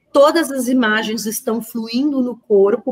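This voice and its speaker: Speech moves at a very slow pace. Its pitch varies in an ordinary way. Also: woman. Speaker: workshop teacher. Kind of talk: online lecture.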